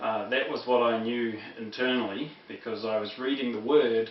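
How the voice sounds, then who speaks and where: A man at a medium pitch speaks at a moderate pace in a New Zealand accent, with audible room echo and noticeable background noise. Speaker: former preacher, Bible teacher. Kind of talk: lecture. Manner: halting, many fillers.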